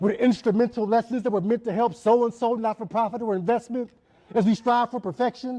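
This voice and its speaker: The voice is loud, with fairly even intonation. It moves at a fairly quick pace. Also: man. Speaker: spoken word poet. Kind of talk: spoken word performance. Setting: church event with audience. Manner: loud, projecting; rhythmic. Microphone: poor sound system.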